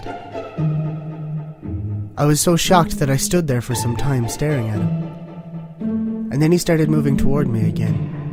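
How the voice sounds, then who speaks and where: A man with an Irish accent at a fairly slow pace, music in the background. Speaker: horror story narrator. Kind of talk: horror story reading.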